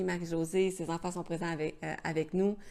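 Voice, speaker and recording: With a Quebec accent, a woman talks at a fairly quick pace. Her pitch sits fairly low. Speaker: travel vlogger. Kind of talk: casual chat. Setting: live stream. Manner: hesitant, many fillers.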